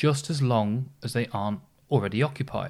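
A man's unremarkable speaking voice at a medium pitch, moderate pace, and ordinary pitch variation. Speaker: podcast host. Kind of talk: history podcast narration, scripted storytelling. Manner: conversational yet polished storyteller, wry asides, steady pace.

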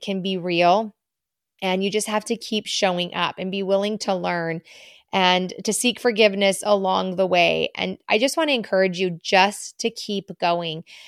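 A woman uses a normal speaking voice at medium pitch with fairly even intonation. The sound is dry and close with no echo, in a very clean recording with a silent background. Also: moderate pace. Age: 40s. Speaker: podcast host. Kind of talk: casual monologue. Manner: warm, conversational.

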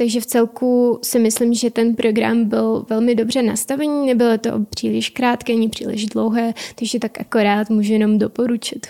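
The speech comes at a fairly quick pace with a slight Ukrainian accent, in a monotone, flat intonation at very even loudness. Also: woman, fairly high pitch for a woman. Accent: slight Ukrainian accent in Czech. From Ukraine. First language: Ukrainian (speaking Czech). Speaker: intern in business consulting. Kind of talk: interview.

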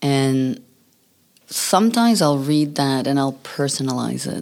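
This woman has a very deep, low pitch and ordinary pitch variation. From New Brunswick, Canada. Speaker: pastor. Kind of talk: interview testimony.

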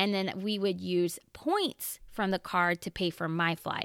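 Dry and close with no echo on a very clean recording with a silent background, a woman uses an ordinary speaking voice at medium pitch with fairly even intonation. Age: 30s. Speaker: personal finance podcast host. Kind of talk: solo podcast monologue.

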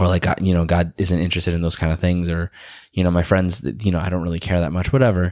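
On a very clean recording with a silent background, the speaker mumbles at a very fast pace. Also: man. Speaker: podcast co-host. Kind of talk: casual chat. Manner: mumbling.

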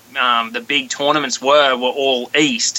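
A man with an Australian accent, fairly high in pitch, at a fairly slow pace with fairly even intonation, amid noticeable background noise. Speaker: professional bass angler. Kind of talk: casual interview chat. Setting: phone call.

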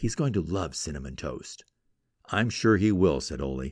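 On a very clean recording with a silent background, a man speaks at a moderate pace. His pitch is very deep and low, with vocal fry and lively intonation. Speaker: radio host. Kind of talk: storytelling narration; radio talk show monologue.

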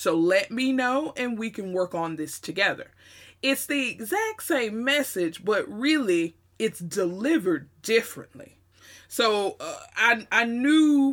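A fairly slow, animated delivery in a Southern US accent, with very wide pitch swings and a very clean recording over a silent background. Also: woman. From US South. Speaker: podcast host. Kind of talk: solo monologue.

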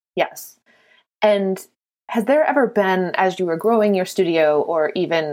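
This is an ordinary speaking voice with ordinary pitch variation. A woman speaks at a fairly slow pace. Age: 40s. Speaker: podcast host. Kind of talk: casual interview chat. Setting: studio.

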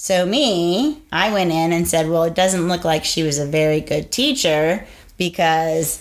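Using an ordinary speaking voice, a woman speaks at a fairly low pitch and moderate pace with ordinary pitch variation. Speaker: podcast co-host, teacher. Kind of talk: casual chat.

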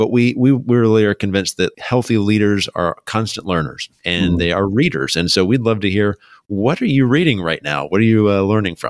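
In a very clean recording with a silent background and a dry, close sound free of echo, a man with a fairly low pitch speaks in an ordinary speaking voice at a fairly quick pace, with lively intonation and hardly any pauses. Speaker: podcast host. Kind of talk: podcast intro and interview.

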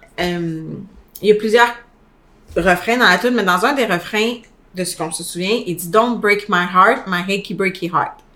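A bright, sharp, animated voice with a Quebec accent at a fairly slow pace. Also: woman. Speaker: podcast co-host. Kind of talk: casual chat.

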